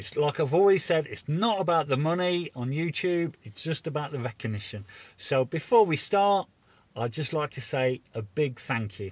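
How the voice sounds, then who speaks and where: A man speaks with lively intonation and a somewhat breathy voice, recorded dry with no echo. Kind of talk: casual vlog chat. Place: car. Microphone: phone near.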